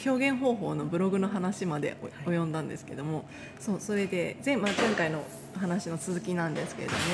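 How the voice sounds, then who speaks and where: A woman with ordinary pitch variation, music playing in the background. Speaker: podcast host and singer. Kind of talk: casual interview chat.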